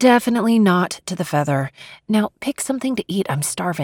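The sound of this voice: An unforced reading voice with lively intonation comes over a quiet background.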